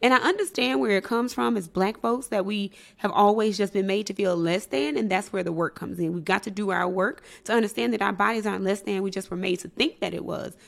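Talking at a very fast pace, a woman uses lively intonation and vocal fry at medium pitch. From Mississippi. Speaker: psychologist. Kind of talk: interview.

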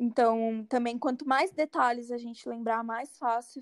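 This is a plain, everyday voice with fairly even intonation, captured in a very clean recording with a silent background. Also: woman. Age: 20s. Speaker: psychology student. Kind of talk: casual chat.

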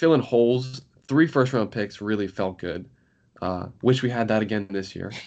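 Against a quiet background, a man of medium pitch has a plain, everyday voice. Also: ordinary pitch variation, moderate pace. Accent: American. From New York area. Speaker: law student and history podcaster. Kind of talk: casual chat.

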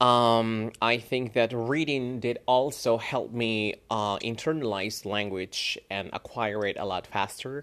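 In a Spanish accent, a man speaks very slowly with hardly any pauses, using fairly even intonation at a medium pitch, on a very clean recording with a silent background. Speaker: English teacher; podcast host. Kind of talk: casual monologue. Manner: halting, many fillers.

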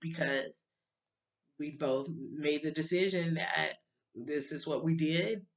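A woman with a Southern US accent and a bright, sharp tone speaks at a very slow pace. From Alabama, US South. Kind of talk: personal testimony. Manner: emotional, halting.

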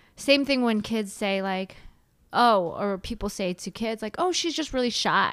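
Over a silent background in a very clean recording, a woman with a plain, everyday voice and an American accent speaks at a moderate pace, with fairly high pitch and lively intonation. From San Francisco Bay Area, US. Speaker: mindset coach, former accountant. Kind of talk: casual interview chat.

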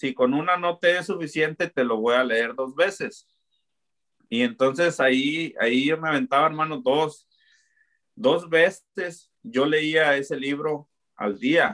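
Very slow in pace, this voice carries a bright, sharp tone. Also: man, fairly high pitch for a man, ordinary pitch variation. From Mexico, Zapopan (Guadalajara), Jalisco. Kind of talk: faith testimony.

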